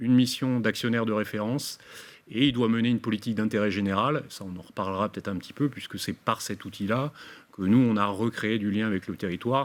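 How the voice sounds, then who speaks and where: Very fast speech keeps its intonation fairly even. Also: man, fairly low pitch for a man. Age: 60s. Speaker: business owner. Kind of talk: webinar presentation. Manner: halting, many fillers.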